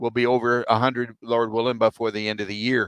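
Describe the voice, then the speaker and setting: A man talks with a Texan accent at a medium pitch. The sound is dry and close, with no echo. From Texas. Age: 70s. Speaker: military veteran. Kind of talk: interview. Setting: podcast. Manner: halting.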